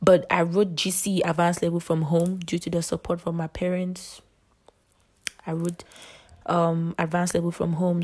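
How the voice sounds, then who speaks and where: Somewhat breathy and fairly low-pitched, a woman speaks with monotone, flat intonation. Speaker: podcast host. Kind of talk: casual monologue.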